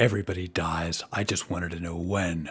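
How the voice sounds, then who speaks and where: Doing a put-on character voice, a man speaks raspy and very deep at a fairly quick pace, his intonation monotone and flat. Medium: actual play. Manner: fidgety, desperate.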